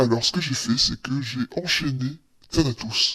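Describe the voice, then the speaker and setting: Someone uses a put-on character voice at a moderate pace with fairly even intonation. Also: man, medium pitch for a man. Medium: solo performance. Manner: evasive, defensive, self-satisfied.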